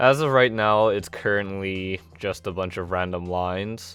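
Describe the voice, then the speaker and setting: Over music in the background, a man with a very deep, low pitch talks at a fairly slow pace with ordinary pitch variation. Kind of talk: gameplay commentary.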